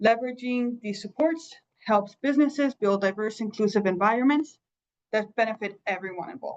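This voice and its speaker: A woman speaks at a fairly quick pace in an ordinary speaking voice, her pitch fairly high and its variation ordinary. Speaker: employer coach. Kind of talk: presentation.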